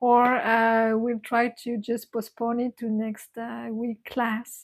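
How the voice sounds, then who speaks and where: A woman's fairly high voice with a non-native accent, monotone and flat, at a very slow pace in a very clean recording with a silent background. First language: not English. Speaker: meditation teacher. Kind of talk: casual chat. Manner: halting.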